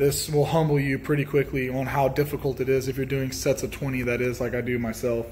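Over light background noise, a man talks at a very fast pace in a flat monotone, with hardly any pauses. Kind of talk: casual tour narration. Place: garage. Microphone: phone near.

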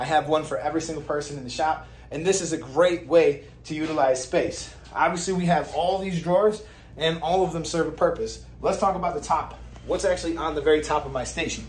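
A man's fairly quick, fairly evenly intoned speech with audible room echo. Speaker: video creator. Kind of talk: casual vlog chat. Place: shop. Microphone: phone near.

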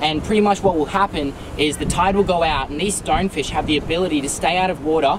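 Over noticeable background noise, a man talks at a fairly quick pace with an Australian accent. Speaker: wildlife adventure youtuber. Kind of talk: vlog narration. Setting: outdoors. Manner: animated. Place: beach. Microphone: phone near.

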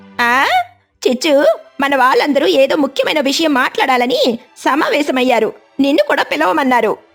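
A woman does a cartoonish character voice, high in pitch, at a moderate pace. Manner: chatty, scolding.

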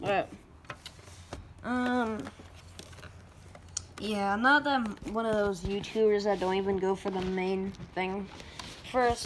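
The speech moves at a fairly slow pace with fairly even intonation and long, frequent pauses. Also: woman.

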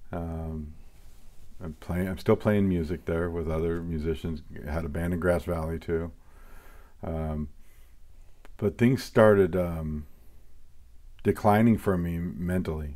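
With an American accent, a man speaks at a very deep, low pitch in a dark, mellow tone, keeping a fairly slow pace, fairly even intonation, and long, frequent pauses. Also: quiet background. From US Pacific Northwest (Portland, Oregon area). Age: 40s. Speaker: assistant pastor. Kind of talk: testimony. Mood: reflective, serious. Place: office.

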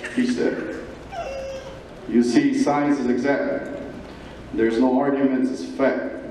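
Over light background noise and audible room echo, a man talks at a fairly slow pace. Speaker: gala speaker reciting poem. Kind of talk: poetry reading at a gala event. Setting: live event hall. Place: hall.

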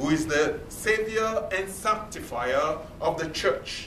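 In a room with audible echo and light background noise, a man speaks very slowly at a high pitch with lively intonation. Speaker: preacher. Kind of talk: sermon delivered to a congregation. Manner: earnest, emphatic, repeating key points. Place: meeting room. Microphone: camera far.

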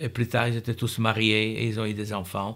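A man's monotone, flat delivery over a quiet background. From Poland, Warsaw. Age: 80s+. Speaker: Holocaust survivor. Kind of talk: testimony. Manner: halting. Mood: calm, earnest recollection. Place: home room.

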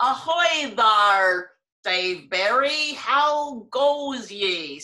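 A put-on character voice, female-sounding and fairly high-pitched for a woman, at a very slow pace. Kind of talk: casual panel conversation. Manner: silly, immature.

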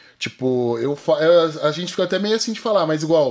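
A man's high-pitched voice with lively intonation. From interior of São Paulo state, Brazil. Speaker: jiu-jitsu athlete and fitness influencer; fitness influencer. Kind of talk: casual interview chat. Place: studio. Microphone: studio mic.

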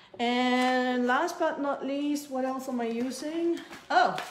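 Here a woman speaks at a high pitch and a very slow pace. Audible room echo and light background noise surround her voice. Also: ordinary pitch variation. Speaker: cookie decorating instructor. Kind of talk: livestream tutorial chat. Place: kitchen. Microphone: phone near.

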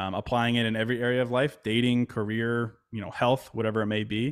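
Against a quiet background, a man talks very fast at a medium pitch. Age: 30s. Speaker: mindfulness writer and podcaster; podcast guest. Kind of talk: casual interview chat. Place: home room. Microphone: studio mic.

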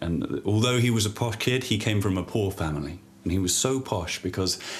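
An unforced reading voice, its pitch varying by an ordinary amount

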